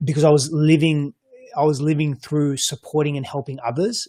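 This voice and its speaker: With an Australian accent, the speaker sounds somewhat breathy and talks at a fairly quick pace. The recording is very clean with a silent background, dry and close with no echo. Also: man. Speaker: coach and psychology practitioner. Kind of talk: panel discussion. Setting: virtual roundtable. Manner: halting, many repeated words.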